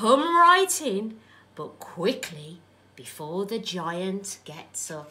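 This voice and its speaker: Using a put-on character voice, a woman speaks very slowly at a medium pitch. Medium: read story.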